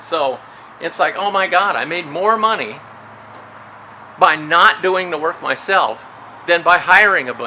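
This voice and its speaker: Against noticeable background noise, a man with a high pitch speaks with long, frequent pauses. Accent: American. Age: 60s. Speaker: retired prison guard and storage facility owner. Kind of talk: casual vlog monologue.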